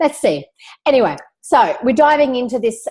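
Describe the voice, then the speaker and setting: In an Australian accent, a woman is talking. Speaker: business coach, online community host. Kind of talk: webinar presentation. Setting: live video webinar. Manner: casual, many filler words.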